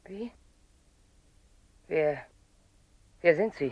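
A woman's put-on character voice, low-pitched with a slightly husky edge, lively intonation, and a very slow pace

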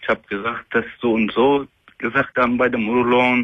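Fairly quick, fairly even speech from a man at medium pitch.

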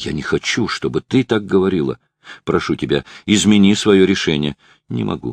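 The surroundings are quiet while a natural reading voice carries the words.

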